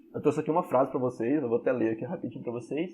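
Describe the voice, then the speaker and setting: A man talks very fast in a fairly high pitch with ordinary pitch variation. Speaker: history teacher. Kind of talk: online class lecture.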